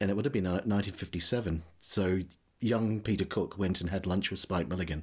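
A man speaks with a very deep, low voice. His intonation stays fairly even. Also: moderate pace. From New Zealand. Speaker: podcast host. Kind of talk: casual interview chat.

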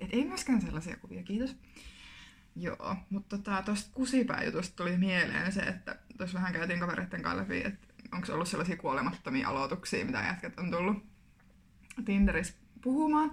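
Through noticeable background noise, a woman talks at a fairly quick pace and medium pitch. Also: lively intonation. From Finland, Kuopio (Savo). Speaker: podcast co-host, student teacher. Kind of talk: casual chat.

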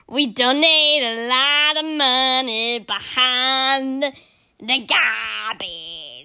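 A woman with a high pitch speaks in a raised, projected voice at a very slow pace, her bright, sharp tone playful and her pitch variation ordinary. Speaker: podcast host. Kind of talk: casual chat; mock sales pitch. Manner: playful, mock-cheery ad parody.

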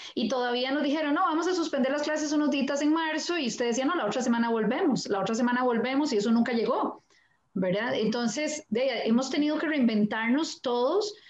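In a Costa Rican accent, the speaker talks at a fairly quick pace with ordinary pitch variation. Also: woman. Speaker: primary school teacher. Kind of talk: live-stream panel conversation.

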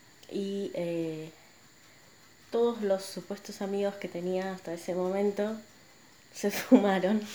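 The speaker talks with a Rioplatense accent. The tone is dark and mellow, and the intonation fairly even. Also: woman. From Buenos Aires, Argentina. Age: 30s. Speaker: podcaster and image consultant. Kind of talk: personal monologue. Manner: hesitant, many fillers.

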